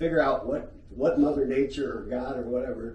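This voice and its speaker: A man with an American accent talks at a moderate pace. Audible room echo and noticeable background noise fill the recording. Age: 60s. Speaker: podcast host. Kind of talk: casual chat. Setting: organization headquarters office.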